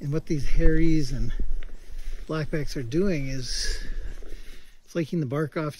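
A man speaks with fairly even intonation, the sound dry with no echo and light background noise. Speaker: nature guide. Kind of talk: casual vlog chat. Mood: cheerful, laughing. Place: forest. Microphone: phone near.

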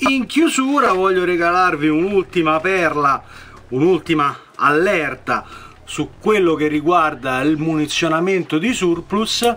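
A man with a high-pitched voice talks at a fairly slow pace with lively intonation over light background noise. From Italy. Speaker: firearms channel host. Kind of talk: tutorial. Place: home room. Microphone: phone near.

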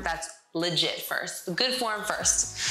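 Faint music plays in the background and the room echo is audible as a woman speaks at a fairly slow pace. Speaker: fitness instructor. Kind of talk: tutorial. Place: home room.

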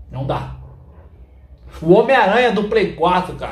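A man talks rather unhurriedly, and his voice echoes audibly in the room. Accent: Brazilian. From Brazil. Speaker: gaming YouTuber. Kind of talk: angry rant. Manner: indignant, loud, exasperated, repeating 'cara' and 'pessoal'. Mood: exasperated, complaining. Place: home room.

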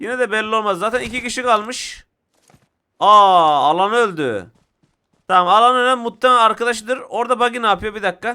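A man speaks in a raised, projected voice with a bright, sharp tone, high pitch, ordinary pitch variation, an animated tone and a fairly quick pace. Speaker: gaming YouTuber. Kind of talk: live gameplay commentary.

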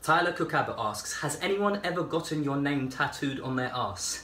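With a British accent, a man talks at a moderate pace in a fairly high voice with ordinary pitch variation, and the room echo is audible. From Albania, raised in England from age 6. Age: 20s. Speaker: YouTuber; vlogger. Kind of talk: casual Q&A video monologue. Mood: joking, sarcastic comedic tone. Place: kitchen. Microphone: phone near.

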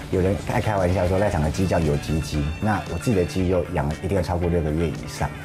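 Clear music plays in the background as the speaker goes at a moderate pace with ordinary pitch variation. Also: man. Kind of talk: interview answer. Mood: calm, proud of his food. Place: bar.

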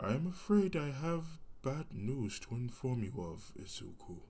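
At a moderate pace, a man delivers a put-on character voice at medium pitch. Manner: worried.

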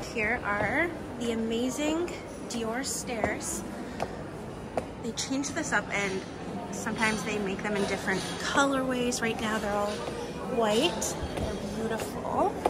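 Amid loud background noise, a woman speaks at a fairly slow pace with ordinary pitch variation and long, frequent pauses. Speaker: fashion vlogger. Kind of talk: casual vlog chat. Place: shop. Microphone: phone near.

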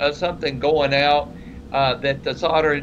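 A man speaking at a fairly slow pace, with noticeable background noise. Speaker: co-host. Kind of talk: casual technical discussion. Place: home room. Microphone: webcam.

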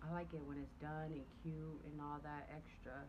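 Noticeable background noise sits behind a woman's voice. Her pitch is very deep and low for a woman. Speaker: family vlogger. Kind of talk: casual vlog chat to camera. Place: home room. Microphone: phone near.

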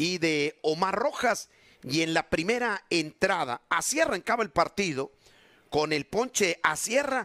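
A man with a high pitch speaks in a bright, sharp tone with lively intonation. He keeps a fairly slow pace. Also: dry, close sound with no echo. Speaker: baseball commentator. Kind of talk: sports highlights narration, recapping plays.

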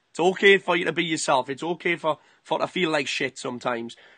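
A man with a fairly high pitch and ordinary pitch variation talks at a very fast pace in a bright, sharp tone, the sound dry and close with no echo. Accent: British. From UK. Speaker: fitness boot camp business owner. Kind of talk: casual interview call.

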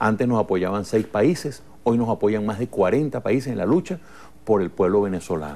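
A man's fairly low, dark, mellow voice carries lively intonation. He speaks at a moderate pace. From Venezuela, Lara state. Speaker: politician. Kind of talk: TV interview. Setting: TV studio. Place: studio. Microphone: lapel.

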